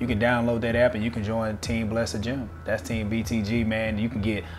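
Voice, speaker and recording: Music plays behind a man whose intonation stays fairly even. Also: fairly quick pace. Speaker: weightlifting coach. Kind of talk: interview answer. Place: home room. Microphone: lapel.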